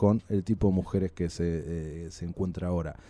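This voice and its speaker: In a Rioplatense accent, a man talks with a dark, mellow tone. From Argentina. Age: 30s. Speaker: podcast guest. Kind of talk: casual chat.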